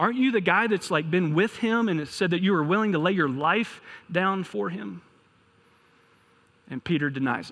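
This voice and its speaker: Using a Kentucky accent, a man speaks in a high voice with lively intonation. His moderate pace is marked by long, frequent pauses. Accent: Kentucky accent, noticeable. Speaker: pastor. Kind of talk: sermon.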